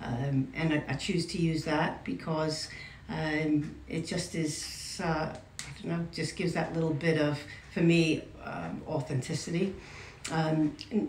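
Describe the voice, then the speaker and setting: Noticeable background noise and audible room echo run through the recording. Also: woman. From New York. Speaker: interviewee, community member. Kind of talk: interview. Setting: in France at regional event. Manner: halting, many fillers and repeats.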